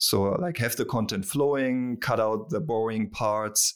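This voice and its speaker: This man speaks with a German accent at a medium pitch. His intonation stays fairly even and his pace is fairly slow. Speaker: online tutorial creator. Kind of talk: interview. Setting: remote call.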